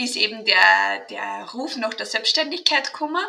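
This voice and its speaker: Her tone is bright and sharp. The woman's pitch moves in an ordinary way. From Austria. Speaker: mental trainer and kinesiologist. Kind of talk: interview.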